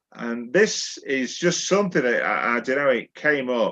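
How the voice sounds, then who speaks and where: A man with a Yorkshire accent, lively intonation and a quiet background. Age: 60s. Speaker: poet. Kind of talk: casual chat; poetry reading.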